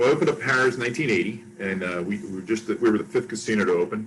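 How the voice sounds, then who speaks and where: Speaking very fast with an American accent, a man uses a fairly low pitch that makes very wide swings. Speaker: casino executive. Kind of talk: interview.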